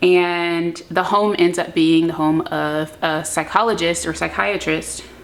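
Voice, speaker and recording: Speaking at a fairly slow pace, a woman with a plain, everyday voice keeps a fairly low pitch and fairly even intonation. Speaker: book vlogger. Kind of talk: casual chat. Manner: filler-heavy, chatty.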